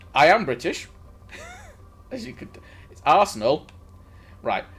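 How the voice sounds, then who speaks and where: Music plays behind a man whose fairly high pitch moves in very wide swings at a moderate pace. His loudness rises and falls in big swings. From northern England, Stockport near Manchester. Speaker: gaming streamer. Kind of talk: casual live-stream chat. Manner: halting, frequent restarts.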